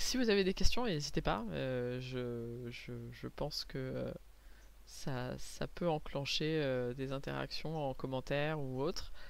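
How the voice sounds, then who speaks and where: A woman talks very slowly in a space with audible room echo. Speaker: comic book artist and vlogger. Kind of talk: casual vlog talk. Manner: hesitant, many fillers and repetitions.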